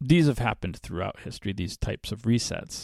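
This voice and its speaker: The voice has vocal fry and lively intonation. The sound is dry and close, with no echo. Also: man, very clean recording, silent background. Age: 50s. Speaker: podcast host. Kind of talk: solo spiritual commentary podcast. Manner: halting, many fillers and repeated words.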